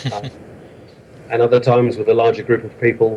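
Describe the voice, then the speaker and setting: He is a man of medium pitch who speaks with a southern English accent. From London, England. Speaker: author of a hiking book. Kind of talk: interview. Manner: hesitant, many fillers.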